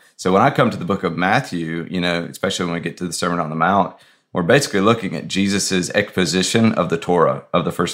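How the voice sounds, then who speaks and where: Words come at a very fast pace in an American accent with ordinary pitch variation. The recording is very clean, and the background is silent. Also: man. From US South. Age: 30s. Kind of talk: casual chat.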